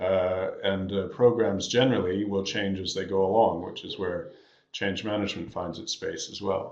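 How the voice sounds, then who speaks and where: Audible room echo surrounds a man speaking at a fairly low pitch with fairly even intonation. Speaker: management consultant presenting a webinar. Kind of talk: webinar presentation. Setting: online webinar. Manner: fast.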